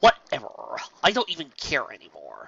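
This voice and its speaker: A man uses a put-on character voice at a moderate pace. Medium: read story. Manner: sardonic, playful.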